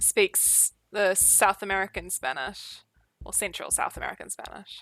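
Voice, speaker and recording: With a New Zealand accent, a woman speaks at a medium pitch and moderate pace with fairly even intonation, music playing in the background. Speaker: streamer. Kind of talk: casual chat. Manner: slurred.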